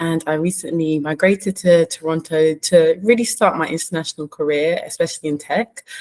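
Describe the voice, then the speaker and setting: Speaking at a fairly quick pace with hardly any pauses, a woman has a fairly low pitch and fairly even intonation. The sound is dry and close, with no echo. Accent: London. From London, England. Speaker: management consultant. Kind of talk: panel introduction.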